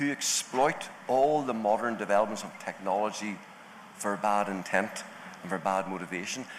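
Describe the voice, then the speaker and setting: A man's voice, with ordinary pitch variation, comes through noticeable background noise. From Northern Ireland. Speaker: panelist on cyber crime, law enforcement background. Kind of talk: panel discussion.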